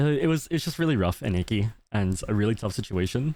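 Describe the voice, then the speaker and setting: Speaking at a fairly quick pace with an Australian accent, a man has a fairly low, dark, mellow voice and lively intonation. The recording is very clean, with a silent background. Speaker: VTuber streamer. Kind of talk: casual livestream chat. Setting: livestream. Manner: fast; loud.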